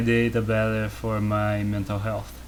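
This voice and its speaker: Amid audible room echo, a man with a Portuguese accent speaks at a fairly slow pace in a relaxed tone. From Brazil. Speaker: artist streamer. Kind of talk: casual chat. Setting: live stream from home studio. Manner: relaxed, low energy.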